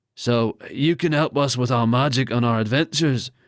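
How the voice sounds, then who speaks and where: A put-on character voice from a man, raspy and gruff, at medium pitch and moderate pace, with fairly even intonation, very even loudness and a dry, close sound with no echo. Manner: questioning.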